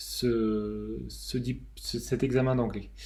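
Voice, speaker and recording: A man speaks at a very slow pace, and audible room echo surrounds his voice. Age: 30s. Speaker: aerospace engineer sharing dyslexia testimony. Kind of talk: testimony. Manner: halting, many hesitations.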